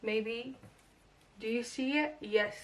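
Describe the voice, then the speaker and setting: A woman speaks at a very slow pace with ordinary pitch variation. Background noise is noticeable. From Portugal and France. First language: Portuguese or French. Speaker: tarot reader. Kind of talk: tarot reading to camera, casual. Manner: casual, hesitant with fillers.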